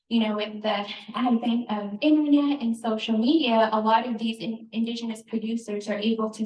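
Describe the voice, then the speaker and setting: Noticeable background noise sits behind a woman's voice. She speaks at a moderate pace with a fairly high pitch. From Northern New Mexico, Navajo. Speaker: cookbook author. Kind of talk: live cooking demonstration. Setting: store event with audience, handheld mic. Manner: soft-spoken.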